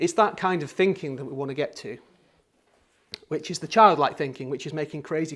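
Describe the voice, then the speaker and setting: With a Yorkshire accent, a man talks at a fairly quick pace using ordinary pitch variation. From Yorkshire, northern England. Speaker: creative workshop teacher and designer. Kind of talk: workshop talk. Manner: halting.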